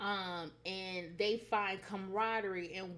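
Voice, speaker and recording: Here a woman speaks at a medium pitch. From United States. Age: 30s. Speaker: spiritual vlogger. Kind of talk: personal vlog monologue. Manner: casual, hesitant with fillers.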